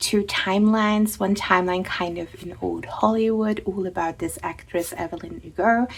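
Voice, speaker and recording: A woman with a non-native accent, fairly even intonation and hardly any pauses. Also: medium pitch for a woman, moderate pace. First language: not English. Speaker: tarot and book content creator. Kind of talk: casual chat. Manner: hesitant, with filler words.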